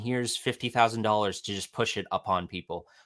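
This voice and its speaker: In a very clean recording with a silent background and a dry, close sound free of echo, a man with a normal speaking voice talks at a fairly quick pace and a fairly low pitch. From Ontario, Canada. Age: 20s. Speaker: podcast listener. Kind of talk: casual chat.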